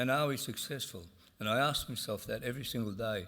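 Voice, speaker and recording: Audible room echo surrounds a man who talks fairly quickly at a medium pitch with ordinary pitch variation. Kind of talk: conference speech. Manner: halting, many fillers.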